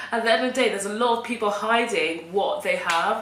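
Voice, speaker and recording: There is noticeable background noise behind a woman. Her pitch is fairly high, with ordinary variation. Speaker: vlogger. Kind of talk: personal vlog monologue. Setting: home recording with camera on tripod.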